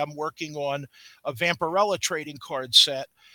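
With an American accent, a man speaks at a fairly slow pace in a bright, sharp tone and fairly high pitch, with a dry, close sound and no echo. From Brooklyn, New York. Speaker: comic book artist and former wrestler. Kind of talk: interview. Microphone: feedback from old laptop.

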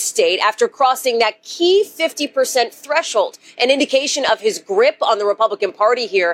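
An unremarkable speaking voice with lively intonation at a moderate pace, in a dry, close sound with no echo. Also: woman. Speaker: TV news correspondent. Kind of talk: live news report. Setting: on location in snowy New Hampshire.

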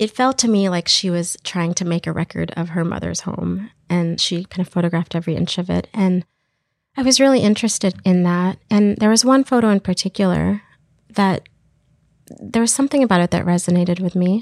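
A plain, everyday voice from a woman with an American accent, medium-pitched with ordinary pitch variation and a fairly quick pace, dry and close with no echo on a very clean recording with a silent background. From Texas. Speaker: filmmaker and professor. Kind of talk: interview.

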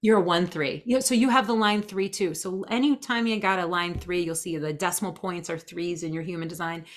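An unremarkable speaking voice moves at a fairly quick pace with hardly any pauses. The pitch variation is ordinary. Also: woman, fairly low pitch for a woman. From New Jersey, US. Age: 40s. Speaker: human design expert. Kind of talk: casual interview. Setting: video call.

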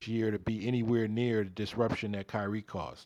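A man with a New York accent speaks at medium pitch and a moderate pace. The sound is dry and close with no echo, over a quiet background. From New York City (Bronx, Harlem) and Jersey City. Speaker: basketball coach. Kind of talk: casual chat.

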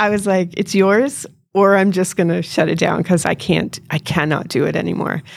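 On a very clean recording with a silent background, a woman speaks at a moderate pace in a fairly low pitch with vocal fry, very even loudness and ordinary pitch variation. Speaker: auto repair shop owner. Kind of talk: casual interview chat. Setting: live event with mic.

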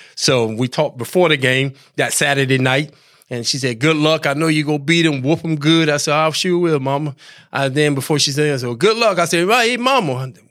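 On a very clean recording with a silent background, a man with a Southern US accent talks at a fairly quick pace, with a fairly high pitch and ordinary pitch variation. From US South. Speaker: retired football player. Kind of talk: interview.

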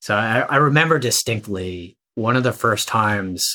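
This voice has a bright, sharp tone. It belongs to a man with an American accent. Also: very clean recording, silent background. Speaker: army veteran and author. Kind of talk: interview.

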